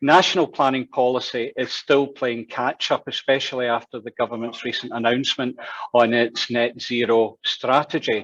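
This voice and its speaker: This man has a Glaswegian accent and a medium pitch, speaking at a moderate pace with fairly even intonation. The sound is dry and close, with no echo. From Scotland, Glasgow. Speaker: town planner. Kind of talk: presentation. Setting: online event.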